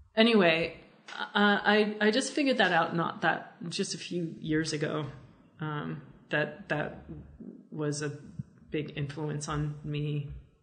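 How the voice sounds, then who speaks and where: Speaking in an American accent, a woman with a very deep, low pitch talks at a very slow pace, with ordinary pitch variation, long, frequent pauses and audible room echo. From Philadelphia, US. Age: 40s. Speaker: cartoonist. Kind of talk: casual interview.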